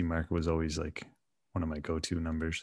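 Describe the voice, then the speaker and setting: Against a quiet background, a man with a Canadian accent speaks at a fairly quick pace in a very deep, low pitch, his intonation monotone and flat. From Canada. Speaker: flexibility coach and former powerlifter. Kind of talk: casual interview. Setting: video call.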